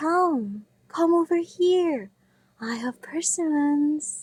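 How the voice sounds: A woman's put-on character voice, high-pitched with lively intonation, at a very slow pace.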